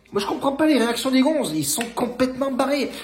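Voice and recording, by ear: Lively intonation at a fast pace, with audible room echo. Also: man, extremely high pitch for a man.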